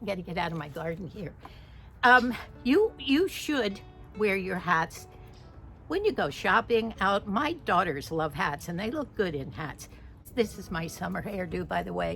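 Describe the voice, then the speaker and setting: A woman with a medium pitch talks at a moderate pace in an animated tone with lively intonation. She leaves long, frequent pauses, and music plays in the background. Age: 80s+. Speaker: lifestyle vlogger. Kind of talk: casual chat. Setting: outdoors.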